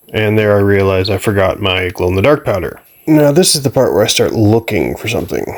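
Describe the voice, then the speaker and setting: Noticeable background noise sits behind a man speaking at a fairly quick pace in a fairly low pitch with ordinary pitch variation. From Canada. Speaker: spray paint artist. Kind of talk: narrated voiceover. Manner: casual.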